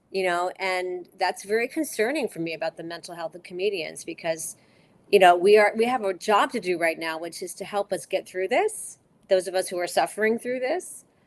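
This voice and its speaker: A normal speaking voice at a fairly quick pace, with ordinary pitch variation and big swings in loudness. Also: woman, medium pitch for a woman. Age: 50s. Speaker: stand-up comedian. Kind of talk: casual chat.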